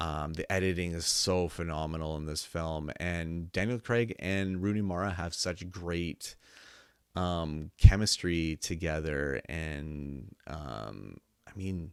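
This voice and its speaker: The speech comes at a very slow pace with ordinary pitch variation, on a very clean recording with a silent background. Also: man, very deep, low pitch for a man. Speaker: film reviewer. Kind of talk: casual review monologue. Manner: halting, many filler words.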